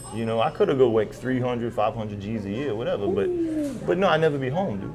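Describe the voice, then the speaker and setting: Against noticeable background noise, a man with a Louisiana accent speaks very fast at medium pitch with lively intonation. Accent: Acadiana Louisiana. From Lafayette, Louisiana (Acadiana). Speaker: former oilfield worker, cook, musician. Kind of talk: interview answer. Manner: casual, down-home.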